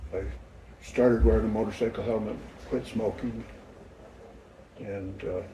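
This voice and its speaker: There is audible room echo as a man speaks at a moderate pace. He leaves long, frequent pauses. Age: 70s. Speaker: grandfather being interviewed. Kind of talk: family interview. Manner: halting.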